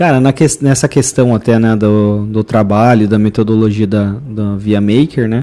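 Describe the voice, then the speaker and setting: Fairly low in pitch, a man talks at a fairly slow pace with a dark, mellow tone. His pitch variation is ordinary, and there are hardly any pauses. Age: 30s. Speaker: podcast host. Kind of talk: casual interview.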